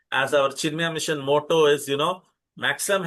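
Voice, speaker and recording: A man speaks at a fairly quick pace with an Indian accent. His tone is bright and sharp, and his intonation stays fairly even. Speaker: spiritual teacher. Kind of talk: lecture. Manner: halting.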